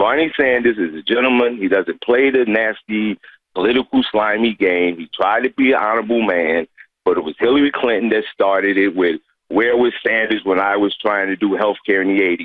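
A man with an American accent and an ordinary speaking voice, fairly low in pitch, at a moderate pace with ordinary pitch variation. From Newark, New Jersey. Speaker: caller. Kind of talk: call-in comment. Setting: phone call.

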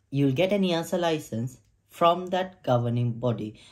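His pitch shows ordinary variation. The man keeps to a moderate pace. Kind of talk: tutorial. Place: home room.

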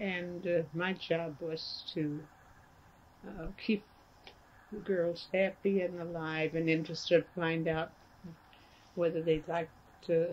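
A woman speaks at a slow pace in a fairly low, slightly mellow voice with little pitch movement, leaving long, frequent pauses.

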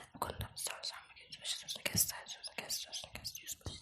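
A woman whispering at a very fast pace amid noticeable background noise. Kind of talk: ASMR book reading. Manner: whispered, fast, partly unintelligible.

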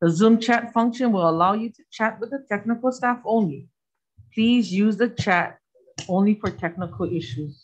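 A woman speaks at a moderate pace with lively intonation and a somewhat breathy voice against a quiet background. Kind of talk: reading procedural rules at a hearing. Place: meeting room. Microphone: podium.

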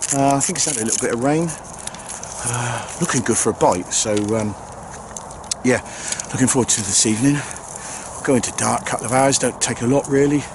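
With long, frequent pauses and ordinary pitch variation, a medium-pitched man speaks in a dry sound with no echo over noticeable background noise. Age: 50s. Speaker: angling video maker. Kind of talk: casual vlog narration. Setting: outdoors. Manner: hesitant, filler-heavy. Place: open country. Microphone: phone near.

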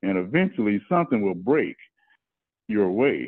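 An American accent at a moderate pace over a quiet background. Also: man. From US West Coast (Fresno, California); California. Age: 60s. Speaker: farmer. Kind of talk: interview. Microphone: video call.

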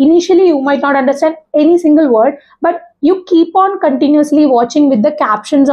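Against a quiet background, a woman with a high pitch talks at a moderate pace. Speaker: YouTuber giving English speaking tips. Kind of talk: monologue tutorial. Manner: informal, hesitant, self-deprecating. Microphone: lapel.

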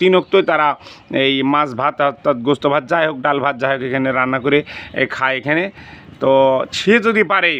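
A man talks in a fairly high pitch with ordinary pitch variation. He has a normal speaking voice. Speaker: video blogger interviewing a local elder. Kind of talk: street interview and address to viewers.

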